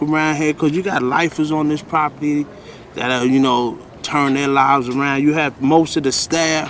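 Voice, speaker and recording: Noticeable background noise accompanies talking delivered at a moderate pace. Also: man. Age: 40s. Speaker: rehab resident. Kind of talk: interview.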